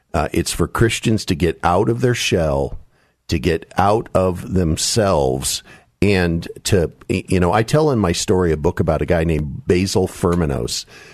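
A man's very deep, low voice with vocal fry, lively intonation, a fairly slow pace, and very even loudness. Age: 60s. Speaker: author and political commentator. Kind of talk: radio interview.

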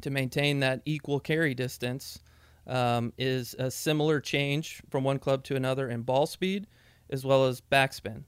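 This man has a plain, everyday voice. His pitch is medium and his intonation fairly even. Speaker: club fitting specialist. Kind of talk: casual expert discussion. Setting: studio.

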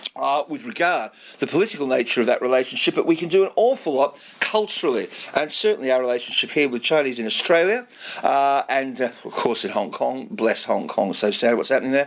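Against noticeable background noise, a man with a fairly high pitch talks at a fairly quick pace, his voice making very wide pitch swings. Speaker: radio presenter. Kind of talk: radio show with interviews. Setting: studio. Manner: animated.

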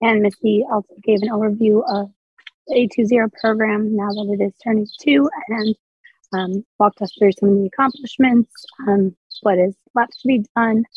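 Her voice is somewhat breathy with fairly even intonation. The woman keeps a moderate pace. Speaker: commission representative at public meeting. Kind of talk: meeting report.

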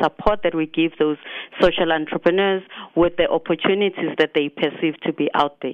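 A woman's fairly low voice in a South African accent, with fairly even intonation. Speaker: competition spokesperson. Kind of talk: radio interview.

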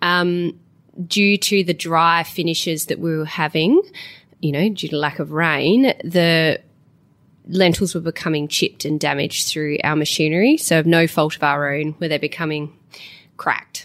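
A woman speaks at a fairly slow pace in an Australian accent. The recording is very clean, with a silent background. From South Australia. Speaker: farmer. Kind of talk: interview.

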